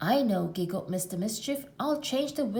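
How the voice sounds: In a natural reading voice, the speaker's intonation is lively.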